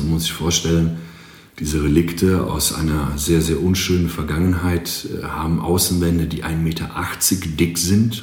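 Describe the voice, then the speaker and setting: Over noticeable background noise and audible room echo, a man speaks in a very deep, low pitch. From Greece. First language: Greek (speaking German). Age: 40s. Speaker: marketing agency owner and drummer. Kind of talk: podcast interview.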